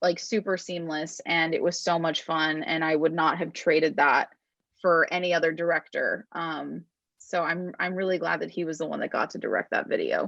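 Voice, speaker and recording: A woman speaks at a moderate pace with a fairly low pitch. Her intonation is monotone and flat, against a quiet background. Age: 20s. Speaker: singer-songwriter. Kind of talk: interview. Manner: casual, many fillers.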